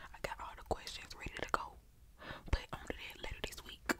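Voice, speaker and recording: A woman whispering. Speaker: ASMR creator. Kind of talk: casual vlog chat, whispery ASMR talk. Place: home room. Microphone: studio mic.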